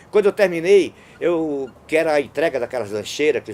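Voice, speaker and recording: A man with a fairly high pitch talks in very wide pitch swings. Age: 60s. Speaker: street clown. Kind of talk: interview storytelling.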